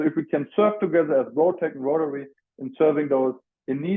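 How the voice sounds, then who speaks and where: A man with a strong German accent and a fairly high pitch for a man. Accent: heavy German. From Germany (Frankfurt). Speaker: student mental health advocate. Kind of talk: presentation. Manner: halting.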